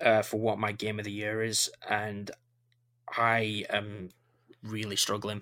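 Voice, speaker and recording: In a very clean recording with a silent background, a man with a Yorkshire accent speaks at a fairly slow pace in a fairly low, bright, sharp voice, his intonation monotone and flat, with long, frequent pauses. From Yorkshire, northern England. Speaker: podcast host. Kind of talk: casual chat.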